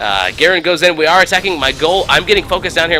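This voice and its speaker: A man talks at a very fast pace in a high pitch with ordinary pitch variation. Noticeable background noise is present. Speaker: gaming video creator. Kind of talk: gameplay commentary.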